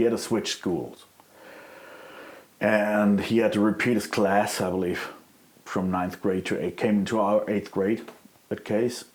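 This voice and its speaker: A man speaks at a moderate pace with a slight non-native accent, his fairly low pitch carried on fairly even intonation. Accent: slight foreign. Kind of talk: interview answer.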